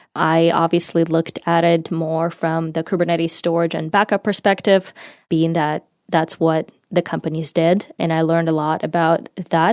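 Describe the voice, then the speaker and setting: A woman with a Ukrainian accent speaks at a fairly low pitch and a fairly slow pace. The recording is very clean, with a silent background and a dry, close sound with no echo. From Ukraine. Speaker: marketing manager in tech. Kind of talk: interview.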